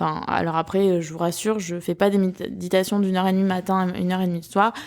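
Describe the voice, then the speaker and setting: A woman speaks at medium pitch with a slight southern French accent. The recording is very clean, with a silent background. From southern France. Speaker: podcast host. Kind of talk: personal podcast monologue. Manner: hesitant, many fillers.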